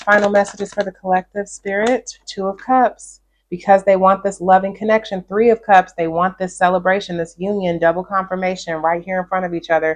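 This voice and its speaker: At a fairly quick pace with hardly any pauses, a woman speaks at medium pitch with fairly even intonation, an unremarkable speaking voice. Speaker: tarot reader. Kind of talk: tarot reading.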